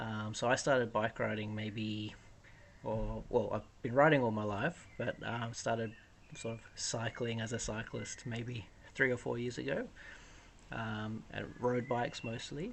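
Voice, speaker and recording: Using fairly even intonation, a man with an Australian accent speaks at a fairly slow pace in a medium pitch. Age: 30s. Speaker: cargo bike owner. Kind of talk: interview.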